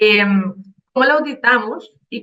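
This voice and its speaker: Here a woman speaks at a moderate pace. Her voice is fairly high, with a bright, sharp tone. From Colombia, Cali. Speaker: IT auditor and consultant. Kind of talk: conference talk.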